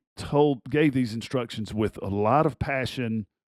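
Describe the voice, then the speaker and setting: A man speaks with ordinary pitch variation. The sound is dry and close with no echo, on a very clean recording with a silent background. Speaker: basketball coach and podcast host. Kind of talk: casual personal storytelling. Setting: studio recording.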